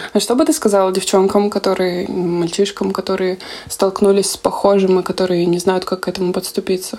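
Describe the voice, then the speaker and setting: A woman has a normal speaking voice with fairly even intonation. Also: medium pitch for a woman, fairly quick pace. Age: 20s. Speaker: podcast host, psychologist. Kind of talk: casual chat. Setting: video call.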